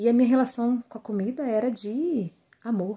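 A woman's dark, mellow voice at a fairly slow pace over a quiet background. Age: 30s. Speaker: weight-loss program student. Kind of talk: testimonial; personal testimonial. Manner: hesitant, many fillers. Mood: reflective, slightly emotional. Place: home room. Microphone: phone near.

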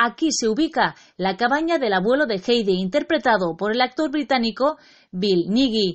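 A woman with a normal speaking voice and a fairly high pitch talks at a moderate pace, with lively intonation and very even loudness. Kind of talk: news-style narration.

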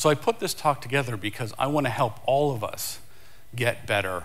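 At a moderate pace, a man is speaking. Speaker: conference speaker. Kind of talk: conference talk. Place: stage.

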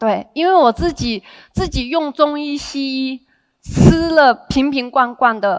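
Against a quiet background, a woman with a high voice speaks very slowly, her pitch varying in an ordinary way. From Henan, China; lives in Taiwan. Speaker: direct sales team leader. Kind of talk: motivational seminar talk. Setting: stage with audience. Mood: warm, smiling. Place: stage. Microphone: headset.

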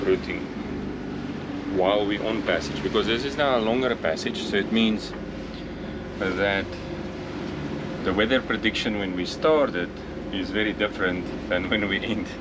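Loud background noise sits behind a man speaking. He keeps a moderate pace with ordinary pitch variation. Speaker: sailing vlogger. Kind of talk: casual vlog tutorial. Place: boat. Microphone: phone near.

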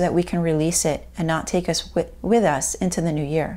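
A woman talks at a fairly quick pace with vocal fry. Her tone is warm, dark and mellow. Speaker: video host and life coach. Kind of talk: guided meditation and journaling exercise. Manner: warm and encouraging. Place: home room.

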